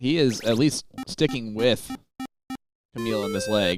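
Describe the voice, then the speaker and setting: A man with an American accent talks fairly slowly while music plays in the background. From Indianapolis, US Midwest. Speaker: darts commentator. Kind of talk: live commentary. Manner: animated.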